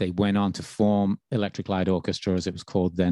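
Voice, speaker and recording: With a Birmingham accent, a man speaks very fast in a flat monotone, his very deep, low voice dark and mellow in a dry, close sound with no echo. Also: quiet background. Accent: Birmingham lilt. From England, Birmingham. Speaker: radio DJ and podcast host. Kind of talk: interview answers, casual chat.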